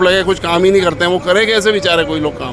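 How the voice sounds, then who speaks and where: Over music in the background, a man speaks at a moderate pace and high pitch with fairly even intonation. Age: 60s. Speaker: voter interviewed on the street. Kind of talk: interview.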